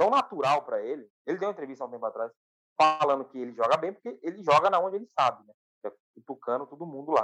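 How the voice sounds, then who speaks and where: A man rattles along at a very fast pace, his fairly high, bright, sharp voice carrying lively intonation. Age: 20s. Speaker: football podcast co-host. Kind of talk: casual football chat. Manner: animated.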